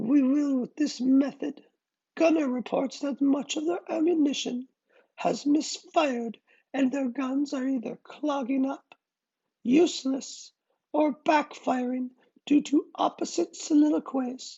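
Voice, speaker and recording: A put-on character voice delivers the lines at a high pitch and a fairly slow pace. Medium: read story. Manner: smooth, firm.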